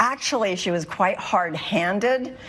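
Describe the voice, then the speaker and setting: A medium-pitched woman's voice at a very slow pace with lively intonation, audible room echo and noticeable background noise. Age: 70s. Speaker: plaintiff in court show. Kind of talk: courtroom testimony. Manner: halting.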